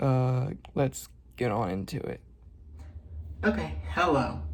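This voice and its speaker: A soft-spoken man at a very slow pace, with very wide pitch swings and audible room echo. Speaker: beauty vlogger. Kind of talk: tutorial. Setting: home at night. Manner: quiet, soft-spoken.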